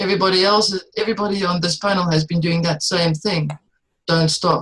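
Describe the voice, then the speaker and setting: A somewhat breathy woman with a non-native accent, at a fairly quick pace and very even loudness. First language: not English. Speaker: panelist, metaphysical energy worker. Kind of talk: panel discussion. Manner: halting.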